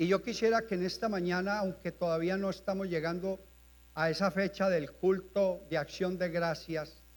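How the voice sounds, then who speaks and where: Speaking at a moderate pace, a man holds a monotone, flat intonation at a high pitch. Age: 70s. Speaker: pastor. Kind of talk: sermon. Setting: church.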